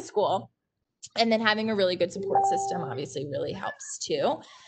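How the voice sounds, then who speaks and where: This woman speaks with ordinary pitch variation. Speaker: university administrator, PhD graduate. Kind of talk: panel Q&A. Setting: video call. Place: home room. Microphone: video call.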